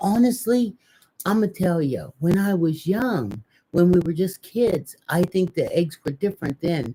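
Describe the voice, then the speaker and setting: A woman's somewhat breathy voice with a dark, mellow tone, lively intonation, and a fairly slow pace. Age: 60s. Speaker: live-stream co-host. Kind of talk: casual chat. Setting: live stream.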